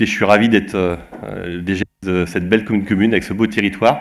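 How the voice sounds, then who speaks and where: Talking very fast, a man keeps a fairly low pitch with ordinary pitch variation. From Vendée, western France. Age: 40s. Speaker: local government director. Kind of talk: self-introduction at meeting. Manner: hesitant, many fillers.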